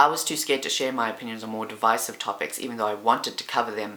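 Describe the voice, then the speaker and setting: Noticeable background noise is present. The talking moves very fast. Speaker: YouTuber. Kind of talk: casual chat. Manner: loud.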